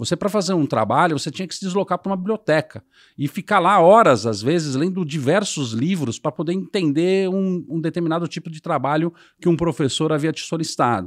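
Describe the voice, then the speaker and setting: A man speaks fairly quickly in a high voice. The background is quiet. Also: lively intonation. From Brazil. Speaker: sales and marketing executive; sales. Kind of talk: interview. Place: studio. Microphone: studio mic.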